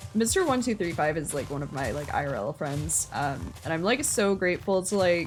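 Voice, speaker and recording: Backed by music, a woman with an American accent speaks with very wide pitch swings. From US Midwest. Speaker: game streamer. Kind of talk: casual chat. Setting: live stream. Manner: halting, self-described word stumbling; filler-heavy, frequent 'like'.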